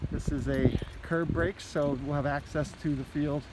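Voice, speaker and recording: A man with a fairly high pitch talks amid noticeable background noise. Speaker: school administrator giving project update. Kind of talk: walking video tour.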